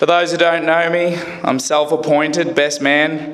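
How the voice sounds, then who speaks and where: A fairly high-pitched man's voice in a strong Australian accent, fairly slow and monotone with flat intonation, amid audible room echo and noticeable background noise. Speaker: best man. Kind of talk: wedding speech.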